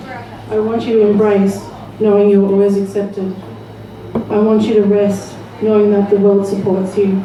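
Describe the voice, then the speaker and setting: Over noticeable background noise, a woman speaks at a moderate pace and medium pitch, her loudness very even and her intonation monotone and flat. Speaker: spoken word poet. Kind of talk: poetry reading. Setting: live open mic venue.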